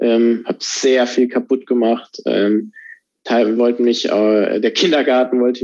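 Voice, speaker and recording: The man's tone is dark and mellow. His intonation stays monotone and flat. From Germany. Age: 20s. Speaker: racing driver. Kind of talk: interview. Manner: halting, many fillers.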